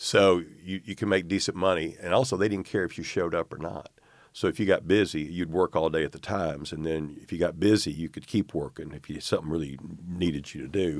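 A man with an Arkansas accent speaks at a fairly quick pace in a very deep, low voice with ordinary pitch variation. His loudness swings widely. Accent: US Southern (Arkansas). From Arkansas, North Little Rock. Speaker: newspaper publisher. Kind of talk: interview. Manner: halting.

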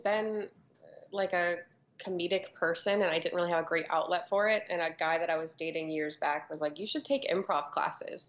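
Speaking at a medium pitch and a moderate pace, this woman has an ordinary speaking voice. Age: 20s. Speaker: comedian. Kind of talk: casual chat.

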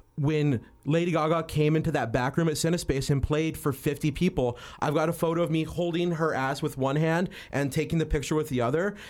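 A man with a normal speaking voice, fairly high pitch, fairly even intonation, very even loudness and a fairly quick pace. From New Mexico, US. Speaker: photographer. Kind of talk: casual chat.

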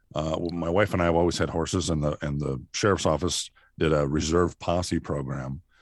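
A man with an American accent speaks at a moderate pace in a very deep, low pitch with vocal fry and ordinary pitch variation, over a quiet background. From southeast Minnesota. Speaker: sheriff and former radio broadcaster. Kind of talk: interview.

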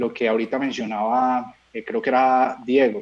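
A man with an ordinary speaking voice talks at a fairly slow pace, his pitch in the medium range. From Colombia, Medellín. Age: 20s. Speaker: singer-songwriter. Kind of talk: interview.

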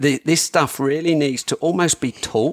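This man speaks at a fairly slow pace with a British accent and a fairly high pitch. The recording is dry and close, with no echo. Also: very clean recording, silent background. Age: 50s. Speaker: hunting gear maker. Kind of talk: casual chat.

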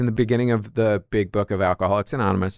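A man with an American accent and a normal speaking voice talks at a fairly quick pace with ordinary pitch variation, the sound dry and close with no echo. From New York. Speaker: comedian. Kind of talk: casual chat.

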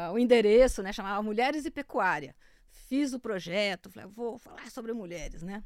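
Using a normal speaking voice, a woman talks fairly slowly at a fairly high pitch with ordinary pitch variation. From interior of São Paulo state, Brazil. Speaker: agricultural journalist. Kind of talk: interview conversation.

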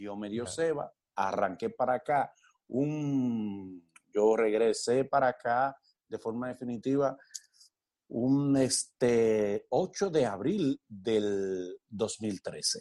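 A very slow man's voice, dark and mellow in tone, medium in pitch, with ordinary pitch variation. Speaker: actor and comedian. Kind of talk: casual interview.

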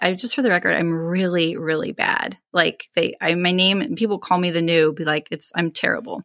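Over a very clean, silent background, a woman with an American accent speaks at a moderate pace in a bright, sharp tone, her medium pitch varying in an ordinary way. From California. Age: 40s. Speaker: sewing livestreamer. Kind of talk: interview.

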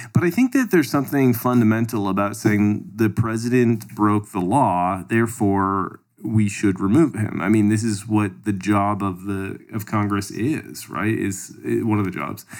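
In a Canadian accent, a man uses a normal speaking voice at a fairly low pitch with ordinary pitch variation, keeping a moderate pace with hardly any pauses. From Canada. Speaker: podcast co-host. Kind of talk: casual political discussion.

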